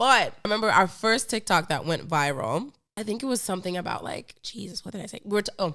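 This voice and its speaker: Her tone is animated and her pitch medium for a woman. She speaks at a very fast pace with hardly any pauses. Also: lively intonation. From Finland. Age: 20s. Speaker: podcast host. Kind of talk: casual interview chat.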